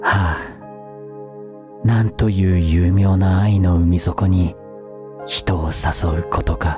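The speech moves at a very slow pace. The sound is dry with no echo, while clear music plays in the background. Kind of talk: poetry reading, ASMR.

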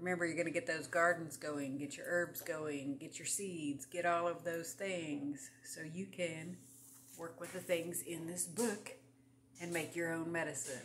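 A woman speaks in a normal speaking voice, fairly low in pitch, at a moderate pace. Light background noise is audible. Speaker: home vlogger on herbs. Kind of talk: casual vlog chat. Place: home room.

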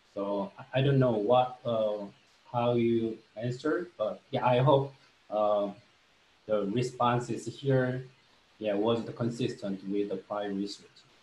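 Pausing long and often, a man speaks at a very slow pace with audible room echo. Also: ordinary pitch variation. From South Korea. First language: Korean. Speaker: marketing professor. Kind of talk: lecture. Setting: video call. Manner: halting, many fillers. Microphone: webcam.

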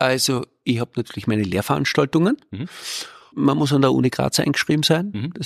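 There is vocal fry in this man's medium-pitched voice, recorded dry and close with no echo. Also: lively intonation, fairly quick pace. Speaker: microbiologist and science communication professor. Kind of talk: casual interview chat.

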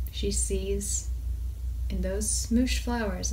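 Over light background noise, a woman speaks very slowly in a flat monotone. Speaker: indie author. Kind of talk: improvised short story reading. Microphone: phone near.

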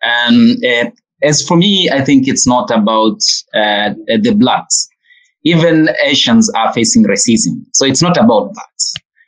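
A man with a high pitch talks at a very slow pace, his pitch swinging very widely. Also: quiet background. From Tanzania. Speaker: civil society executive. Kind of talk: panel discussion. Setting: video call. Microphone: video call.

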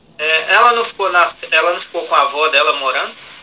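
Lively intonation carries a man's voice at a moderate pace against noticeable background noise. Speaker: interpreter between mother and daughter. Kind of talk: interpreting in a family conversation. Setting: phone call. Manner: halting, hesitant.

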